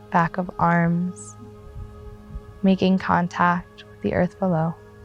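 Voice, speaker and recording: A woman speaks in a calm, gentle tone with music playing in the background. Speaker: yoga teacher. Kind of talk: guided yoga class instruction. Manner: calm, slow, gentle.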